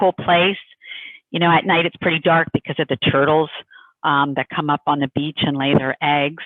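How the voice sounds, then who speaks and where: A woman speaks at a moderate pace with a Northeastern US accent. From US Northeast. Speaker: tour company representative. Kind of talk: sales presentation. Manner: casual, conversational.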